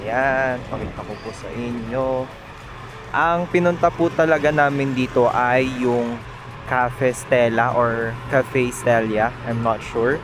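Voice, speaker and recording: A quiet man's voice at a very slow pace, fairly even in intonation, over noticeable background noise. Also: medium pitch for a man. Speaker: lifestyle vlogger. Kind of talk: casual vlog narration. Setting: outdoors, quiet mountain village. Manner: soft-spoken, calm; low energy, quiet.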